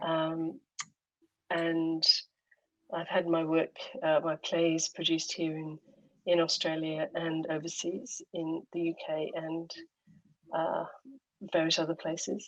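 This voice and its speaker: A woman with a British accent, fairly low in pitch, with monotone, flat intonation, a very slow pace, and long, frequent pauses. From UK. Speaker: playwright, poet and performer. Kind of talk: casual conversation.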